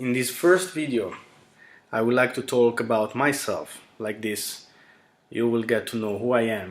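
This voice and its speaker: A man with an Italian accent speaks fairly slowly at a medium pitch, leaving long, frequent pauses. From Italy. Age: 20s. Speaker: YouTuber. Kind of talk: casual monologue.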